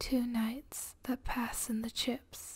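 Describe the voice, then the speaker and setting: A woman whispers in a soft-spoken way. She talks at a very slow pace. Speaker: ASMR creator. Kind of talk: soft reading of flash fiction. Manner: whispered, soft-spoken. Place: home room. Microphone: studio mic.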